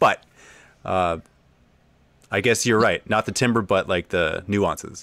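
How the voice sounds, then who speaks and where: Animated and bright, sharp in tone, a man speaks with a fairly low pitch. His pace is fairly slow, with long, frequent pauses. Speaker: gaming channel host. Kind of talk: casual livestream interview. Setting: home living room, video call. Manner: animated, excitable.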